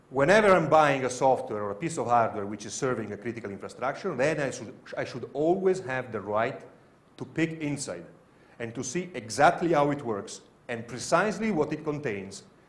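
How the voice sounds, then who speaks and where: In an Italian accent, a man talks fairly quickly at a medium pitch, swinging very widely up and down. Room echo can be heard. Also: big swings in loudness. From Italy. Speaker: security researcher. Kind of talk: conference talk. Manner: halting.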